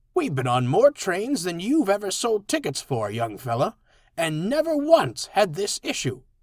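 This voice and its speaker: A man puts on a character voice, high in pitch with very wide pitch swings. The recording is very clean, with a silent background. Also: moderate pace. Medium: read story.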